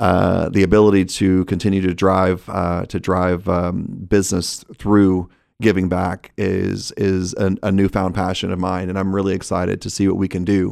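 Speaking in a Texan accent, a man with a very deep, low pitch keeps a moderate pace and monotone, flat intonation with hardly any pauses, in a very clean recording with a silent background. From Texas. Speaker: restaurant executive. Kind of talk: casual interview.

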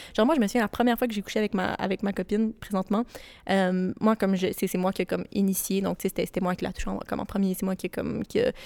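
A woman talks at a very fast pace with medium pitch and fairly even intonation. The recording is very clean and dry, close with no echo, against a silent background. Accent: Quebec. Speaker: podcast co-host. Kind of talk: casual chat. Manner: calm.

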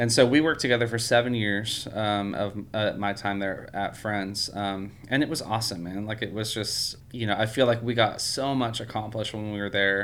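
A man with an American accent has an ordinary speaking voice, fairly low in pitch, talking at a moderate pace with hardly any pauses and fairly even intonation. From California. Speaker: church music director. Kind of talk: casual interview.

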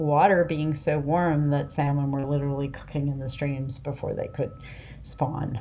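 A woman with an American accent speaks in a very deep, low voice with a dark, mellow tone. Her intonation is monotone and flat, and the room echo is audible. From US East Coast. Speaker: fishing boat captain. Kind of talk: interview.

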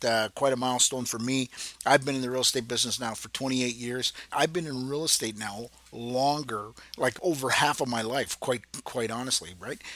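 Using an ordinary speaking voice, a man talks at a moderate pace. His pitch is medium and his intonation fairly even. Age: 50s. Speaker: podcast host and real estate agent. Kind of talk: casual monologue. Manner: relaxed with filler words.

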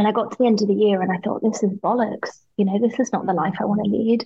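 Somewhat breathy and medium in pitch, a woman talks at a very fast pace with ordinary pitch variation. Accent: British. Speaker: business owner and mentor. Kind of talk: casual interview conversation. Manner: animated, expressive.

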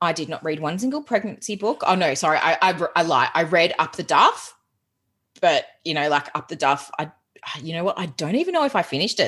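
Against a quiet background, a woman with an Australian accent talks fairly quickly. Her pitch is fairly low and her intonation lively. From Australia, Geelong (Victoria). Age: 30s. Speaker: productivity coach. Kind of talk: casual interview chat.

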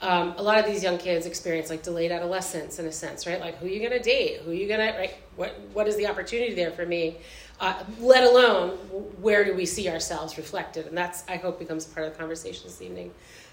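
A woman talks very fast in a fairly low voice, with ordinary pitch variation. Her loudness swings widely, and background noise is noticeable. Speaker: high school art teacher. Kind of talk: live panel discussion. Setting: stage with audience.

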